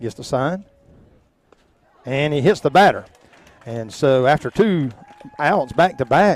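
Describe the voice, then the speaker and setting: Loud and with lively intonation, a man with a Georgia accent talks at a fairly slow pace with long, frequent pauses. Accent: southern US (Georgia). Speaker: local sports play-by-play announcer. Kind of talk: live commentary. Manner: animated.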